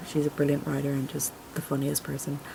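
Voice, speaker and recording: A woman's voice over noticeable background noise. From Ireland. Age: 20s. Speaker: vlogger, college student. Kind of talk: casual vlog introduction. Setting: home video recording on camera. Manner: rambling, fillers. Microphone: camera mic; laptop mic is poor.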